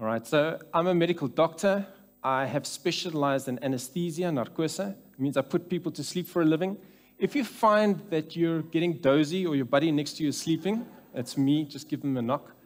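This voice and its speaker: This man talks at a fairly quick pace with ordinary pitch variation. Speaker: speaker. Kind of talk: conference talk. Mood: light humorous opening. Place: church. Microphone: headset.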